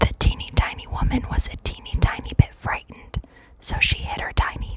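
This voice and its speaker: The speaker whispers. Noticeable background noise can be heard. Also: woman. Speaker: librarian reading aloud. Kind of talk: ASMR read-aloud of a children's story. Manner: whispered, soft, slow.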